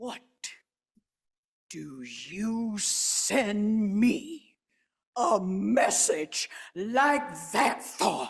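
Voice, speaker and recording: A female-sounding voice puts on a character at a fairly high pitch. The pace is very slow, with long, frequent pauses. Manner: fierce, wrathful.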